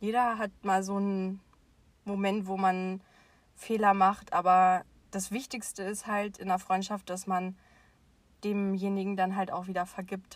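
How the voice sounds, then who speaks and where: A woman speaks at medium pitch in a monotone, flat delivery, fairly slowly, with long, frequent pauses. The recording is very clean, with a silent background. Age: 20s. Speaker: podcast co-host. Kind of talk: casual chat.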